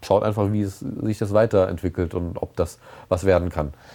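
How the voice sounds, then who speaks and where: Talking at a fairly quick pace, a man has a very deep, low pitch and a dark, mellow tone with fairly even intonation. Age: 30s. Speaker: interviewee. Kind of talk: interview. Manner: halting.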